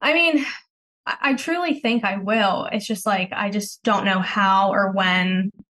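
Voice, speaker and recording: Using an ordinary speaking voice, a woman talks fairly slowly at medium pitch with lively intonation. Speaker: caller seeking relationship advice. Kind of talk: advice call.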